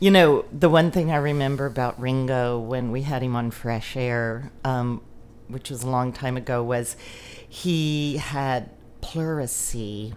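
In an American accent, a woman talks at a fairly slow pace in a very deep, low voice with ordinary pitch variation. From Texas, Lubbock. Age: 50s. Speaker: radio producer. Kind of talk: casual chat. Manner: relaxed.

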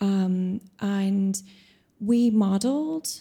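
Somewhat breathy and dark, mellow in tone, a woman speaks with ordinary pitch variation on a very clean recording with a silent background. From Ireland. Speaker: composer and venue programmer. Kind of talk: panel discussion. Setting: stage with audience.

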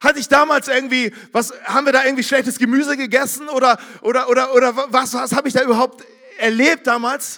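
Raising and projecting his voice, a man speaks fairly quickly at an extremely high pitch, his tone animated, bright and sharp. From northern Germany, Barmstedt near Hamburg. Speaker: pastor. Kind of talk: sermon.

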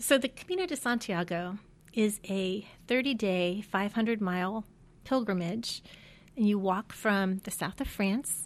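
A woman speaks with an American accent in a plain, everyday voice, at a medium pitch with ordinary pitch variation. Her pace is fairly slow, and the recording is very clean with a silent background. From US Midwest (Ohio, Pennsylvania, Michigan). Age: 50s. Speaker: alumna, mother of four. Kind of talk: interview, personal faith story. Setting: studio.

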